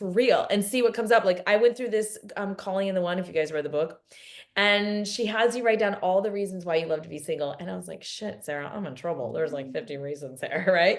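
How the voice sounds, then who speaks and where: Very fast and animated, a woman at medium pitch uses lively intonation with big swings in loudness. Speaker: spiritual teacher. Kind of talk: live online workshop talk. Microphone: laptop camera and mic, poor quality.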